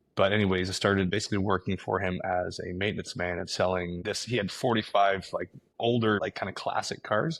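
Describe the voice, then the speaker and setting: The speaker mumbles at a fairly quick pace with hardly any pauses. Intonation stays fairly even, and the background is quiet. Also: man, fairly low pitch for a man. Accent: Canadian. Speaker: real estate agent and team leader. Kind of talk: interview. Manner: fast; mumbling.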